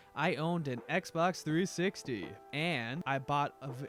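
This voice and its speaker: A man's fairly high-pitched voice at a fairly slow pace, with ordinary pitch variation and music in the background. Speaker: jiu-jitsu vlogger. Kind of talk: casual vlog monologue.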